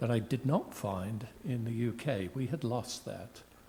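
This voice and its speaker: Somewhat breathy and dark, mellow in tone, a man talks in a British accent at a fairly slow pace with ordinary pitch variation. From United Kingdom. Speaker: university research executive and state official. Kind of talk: panel discussion.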